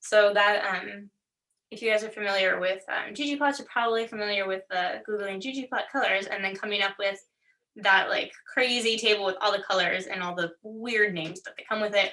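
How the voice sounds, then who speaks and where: A woman speaks at a fairly quick pace with a medium-pitched voice. Her intonation stays fairly even. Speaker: workshop instructor. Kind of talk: tutorial. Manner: fast.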